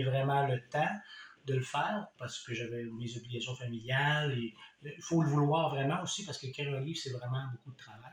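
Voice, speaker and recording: A man with a Quebec accent talks at a fairly quick pace. His pitch is medium, with ordinary variation. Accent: Québécois. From Quebec, Compton (Eastern Townships). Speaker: author. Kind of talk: casual book presentation. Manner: hesitant, many fillers.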